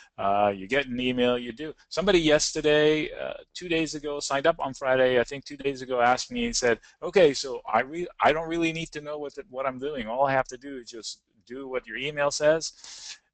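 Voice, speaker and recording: A man's fairly high voice at a fairly quick pace, with ordinary pitch variation, hardly any pauses, and big swings in loudness. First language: not English. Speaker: options trading educator. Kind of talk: webinar presentation.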